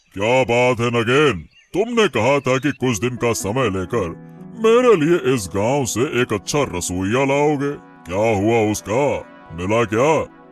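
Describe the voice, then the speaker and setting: A man's cartoonish character voice, medium in pitch, fairly slow and lively in intonation, with faint music in the background. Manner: assured, commanding.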